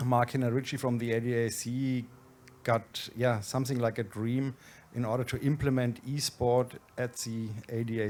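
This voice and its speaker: A man speaks in a Franconian accent. His pace is moderate and his intonation monotone and flat. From Germany, Franconia. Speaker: event organizer, managing director. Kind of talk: conference presentation.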